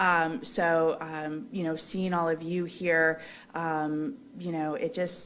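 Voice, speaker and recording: A woman talks very slowly at a fairly low pitch with ordinary pitch variation. Audible room echo surrounds her voice. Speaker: foundation representative and melanoma survivor. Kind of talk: conference remarks. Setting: conference hall with audience and microphone. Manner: loud.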